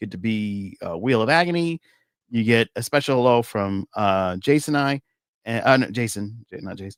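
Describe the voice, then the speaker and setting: A man's animated, medium-pitched voice with an American accent, very wide pitch swings, and a moderate pace, in a dry, close sound with no echo and a very clean recording over a silent background. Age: 40s. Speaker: podcast host. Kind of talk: casual chat.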